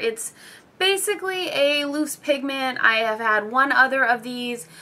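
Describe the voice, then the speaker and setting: In a raised, projected voice, a woman with a high pitch speaks in a bright, sharp tone. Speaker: beauty vlogger and cosmetology instructor. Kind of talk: casual product haul video. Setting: at home at night.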